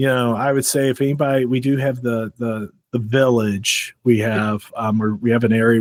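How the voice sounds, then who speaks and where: Dry and close with no echo, a man speaks at a medium pitch and a fairly quick pace. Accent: St. Louis. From St. Louis, Missouri, US Midwest. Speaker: security conference organizer. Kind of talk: podcast interview. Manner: casual, with many fillers.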